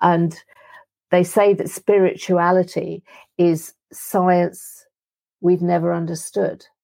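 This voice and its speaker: The speech moves at a very slow pace with long, frequent pauses. The tone is dark and mellow, and the intonation is monotone and flat. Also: woman, fairly low pitch for a woman. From London (Wembley). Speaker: energy healer and livestock farmer. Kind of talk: interview.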